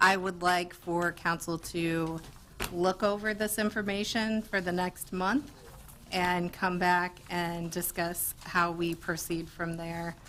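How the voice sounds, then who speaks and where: Speaking at a very slow pace, a woman uses a bright, sharp tone, a fairly low pitch and fairly even intonation. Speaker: city council member. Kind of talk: council meeting discussion. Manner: loud.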